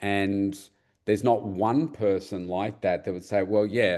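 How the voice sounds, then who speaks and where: Against a quiet background, a man talks at a fairly slow pace in an unremarkable speaking voice, fairly low in pitch with ordinary pitch variation. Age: 50s. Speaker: podcast host. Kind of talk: podcast interview.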